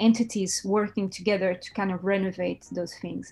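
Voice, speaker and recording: A woman speaks at a medium pitch with a Portuguese accent and a dark, mellow tone, in a very clean recording with a silent background. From Portugal. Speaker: brand designer and art director. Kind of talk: interview. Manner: halting.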